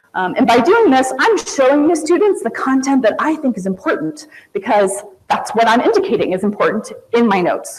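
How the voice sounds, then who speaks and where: Noticeable background noise is present throughout. The words come at a fairly quick pace. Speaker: college instructor presenting teaching methods. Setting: presentation to an audience. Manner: fast talker.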